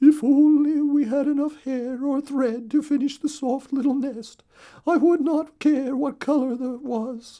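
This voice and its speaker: A put-on character voice in a high pitch at a moderate pace. The background is quiet. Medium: read story.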